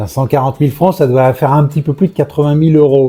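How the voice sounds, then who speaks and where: Music plays in the background while a man talks. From Normandy, France. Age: 60s. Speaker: real estate professional. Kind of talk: interview. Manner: hesitant, many fillers.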